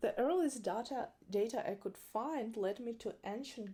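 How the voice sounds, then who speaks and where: A woman's dark, mellow tone with a non-native accent, lively intonation and a fairly slow pace on a very clean recording with a silent background. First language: not English. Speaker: makeup artist and educator. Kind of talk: educational talk to camera. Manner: occasional hesitations.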